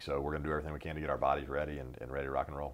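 A man with an American accent speaks with vocal fry on a very clean recording with a silent background. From North Carolina, US South. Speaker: football placekicker. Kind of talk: interview.

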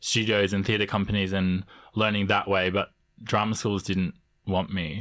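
Over a very clean recording with a silent background, the speaker talks at a moderate pace with an Australian accent and monotone, flat intonation. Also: man. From Canberra, Australia (also Samoa). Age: 20s. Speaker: multidisciplinary artist and actor. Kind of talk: interview. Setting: studio.

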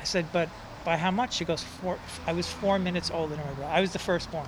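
A man with a New York accent talks fairly quickly at a high pitch, his intonation fairly even. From New York City (Manhattan, Bronx). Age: 60s. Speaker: poet and author. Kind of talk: interview storytelling.

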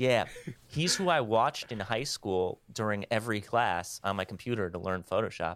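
A man with an American accent speaks in an ordinary speaking voice, pitched fairly low. His pace is moderate and his intonation lively, with a dry, close sound and no echo. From US Midwest (Wisconsin). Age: 30s. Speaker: music photographer. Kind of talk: casual chat.

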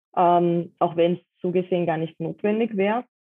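This is a plain, everyday voice moving at a moderate pace with fairly even intonation. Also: woman. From Austria, Vienna. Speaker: dog harness maker. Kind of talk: interview.

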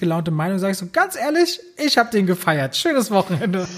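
Music plays in the background as a high-pitched man talks at a fairly quick pace. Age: 30s. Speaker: film critic and YouTuber. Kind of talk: casual chat.

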